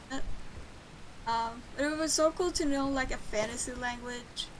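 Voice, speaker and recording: A woman speaks at a moderate pace in a high pitch, with noticeable background noise behind her. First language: Swedish. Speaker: game streamer. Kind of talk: casual gameplay commentary. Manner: casual, with fillers.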